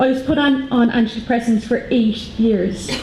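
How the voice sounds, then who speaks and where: A woman speaks with an Irish accent and ordinary pitch variation. There is audible room echo and noticeable background noise. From Ireland. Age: 30s. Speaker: patient advocate. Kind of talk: conference talk.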